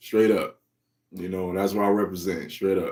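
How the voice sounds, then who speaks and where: His pitch is fairly low, and he moves at a moderate pace. This man's intonation is monotone and flat. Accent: American. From US Midwest, Cleveland, Ohio. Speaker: comic creator, livestream host. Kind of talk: casual livestream chat. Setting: live stream. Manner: laid-back.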